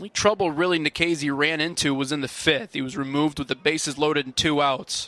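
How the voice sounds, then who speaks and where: At a moderate pace, a man with a fairly high pitch and ordinary pitch variation talks in an ordinary speaking voice, recorded with a dry, close sound and no echo. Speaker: baseball radio play-by-play announcer. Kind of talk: live baseball radio play-by-play.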